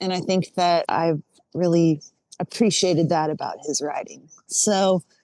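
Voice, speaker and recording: A dark, mellow tone comes through at a fairly slow pace with fairly even intonation, in a dry, close sound with no echo. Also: woman, fairly low pitch for a woman. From Tennessee (Nashville, Franklin). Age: 40s. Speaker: singer-songwriter. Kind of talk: interview.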